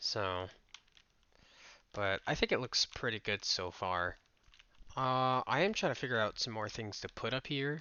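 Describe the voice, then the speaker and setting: A man speaks quietly at a medium pitch and a fairly slow pace. His intonation is lively, and he leaves long, frequent pauses. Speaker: game developer youtuber. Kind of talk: casual work-along commentary. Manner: halting.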